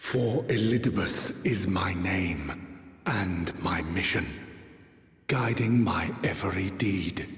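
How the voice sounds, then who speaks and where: Using a put-on character voice, a man speaks at a very slow pace and a very deep, low pitch, with slight echo. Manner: grandiose, dramatic.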